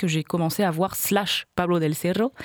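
Recorded with a dry, close sound and no echo, a woman uses an ordinary speaking voice at a fairly low pitch with ordinary pitch variation. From France, Hautes-Alpes. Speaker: singer and musician. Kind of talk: radio interview. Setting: studio.

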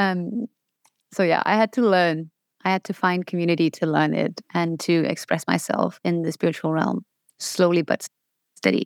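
A woman with a Danish accent speaks at a fairly low pitch, the sound dry and close with no echo on a very clean recording with a silent background. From Denmark. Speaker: spiritual business coach. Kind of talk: interview. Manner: enthusiastic, upbeat.

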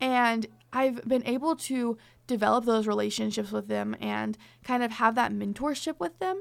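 The recording is very clean, with a silent background. A woman delivers her words at a moderate speed. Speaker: college radio podcast co-host. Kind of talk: casual chat.

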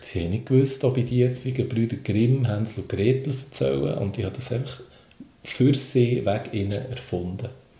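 A man speaks at a moderate pace. Room echo is audible, and background noise is noticeable. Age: 40s. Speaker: comedian and children's entertainer. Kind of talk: casual interview.

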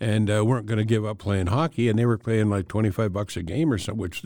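A man's fairly low voice with a dark, mellow tone. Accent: Canadian. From western Canada (Alberta). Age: 70s. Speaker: veteran sports writer. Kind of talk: casual interview.

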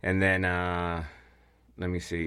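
A man with a Guatemalan accent and a very deep, low voice speaks at a fairly slow pace on a very clean recording with a silent background. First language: Spanish. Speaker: piano mover. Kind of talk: casual interview.

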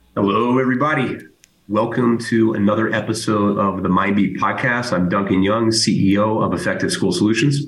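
A man speaks at a fairly quick pace in a fairly low pitch, his loudness very even, with audible room echo. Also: ordinary pitch variation. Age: 50s. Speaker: podcast host, school services executive. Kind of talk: casual chat. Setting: remote recording.

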